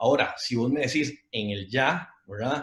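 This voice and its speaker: An animated, somewhat breathy male voice with ordinary pitch variation. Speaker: financial advisor. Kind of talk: online talk with audience Q&A. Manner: fast.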